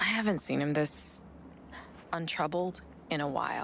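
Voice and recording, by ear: A woman performs a put-on character voice with vocal fry and a fairly bright tone. Her pitch is low, and her pace is fairly slow. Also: ordinary pitch variation.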